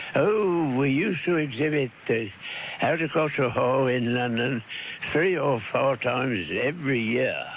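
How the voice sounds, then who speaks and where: Through noticeable background noise, a man with a fairly high pitch speaks at a fairly slow pace with ordinary pitch variation. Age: 80s+. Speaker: gardener. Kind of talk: interview answer. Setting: radio broadcast, cassette recording.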